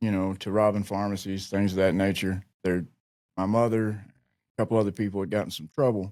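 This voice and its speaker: In an Appalachian accent, a man speaks at a fairly quick pace and a fairly low pitch. His intonation is monotone and flat, on a very clean recording with a silent background. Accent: Appalachian Southern American. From rural Virginia, Appalachia. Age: 40s. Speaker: army veteran in addiction recovery. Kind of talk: interview answer. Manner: candid, reflective.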